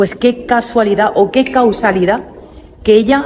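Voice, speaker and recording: Over noticeable background noise, a woman speaks at a moderate pace. Her pitch is fairly high and her intonation fairly even. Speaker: travel vlogger. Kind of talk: guided museum tour vlog. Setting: inside a museum. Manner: halting, with fillers and false starts.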